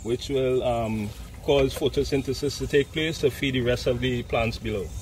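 Over light background noise, a man with a Trinidadian accent talks at a medium pitch with fairly even intonation. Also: dry sound with no echo. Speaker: resort landscape manager; resort horticultural guide. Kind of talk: guided plant tour. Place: garden.

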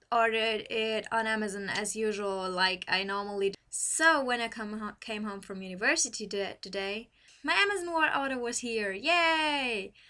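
Speaking at a fairly slow pace in a German accent, a woman has a fairly high voice with a bright, sharp tone. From Germany. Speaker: university student. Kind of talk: casual talk to camera. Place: home room. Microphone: webcam.

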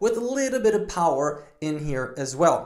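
Over a quiet background, a man talks at a moderate pace with audible room echo. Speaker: performance coach. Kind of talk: fitness vlog intro. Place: home room.

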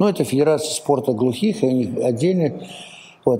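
Lively intonation paired with a dark, mellow tone. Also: man. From Kazakhstan. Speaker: sports federation president. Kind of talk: interview. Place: studio. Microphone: lapel.

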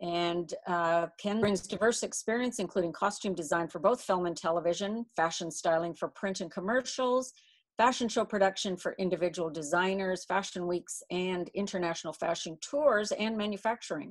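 A woman at a moderate pace with ordinary pitch variation, hardly any pauses, and a quiet background. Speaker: event host. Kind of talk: introduction of a speaker. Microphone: video call.

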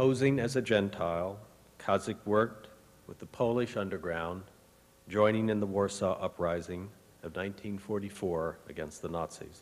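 In an ordinary speaking voice, a man talks at a fairly slow pace and a fairly low pitch, with ordinary pitch variation and big swings in loudness. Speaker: university president. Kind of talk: ceremonial speech. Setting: stage with audience.

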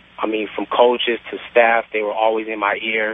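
Over noticeable background noise, a man talks at a fairly quick pace and a medium pitch. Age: 20s. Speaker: caller. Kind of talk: phone-in call. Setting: phone call.

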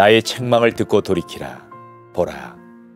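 Against music in the background, the speech unfolds at a fairly slow pace with ordinary pitch variation. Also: man. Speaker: pastor and former broadcast voice actor. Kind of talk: Bible reading. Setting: studio, with piano music in the background. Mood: warm, gently expressive.

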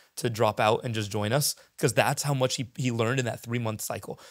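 A man speaks with an American accent and ordinary pitch variation. The background is quiet. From US West Coast, San Diego; California. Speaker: startup founder and CEO; podcast guest. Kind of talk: casual interview. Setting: in person. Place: studio. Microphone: handheld.

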